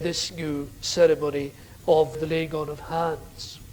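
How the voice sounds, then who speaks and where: A man speaks with a Scottish Highland accent, and the room gives an audible echo. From Scottish Highlands/Islands, Gaelic-speaking. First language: Scottish Gaelic. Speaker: theology professor. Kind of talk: lecture. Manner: forceful preaching style.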